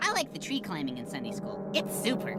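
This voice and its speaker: A female-sounding, cartoonish character voice at a medium pitch speaks at a fairly quick pace. Loud background noise runs underneath. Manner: playful, silly.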